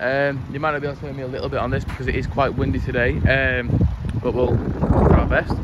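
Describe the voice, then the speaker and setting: Loud background noise surrounds speech that moves at a fairly quick pace with a dry sound and no echo. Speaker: car salesman. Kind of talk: casual product walkaround. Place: street. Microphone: phone near.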